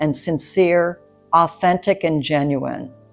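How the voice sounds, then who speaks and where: Music plays behind a woman who talks fairly slowly. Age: 60s. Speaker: nurse midwife. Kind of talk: educational talk to camera.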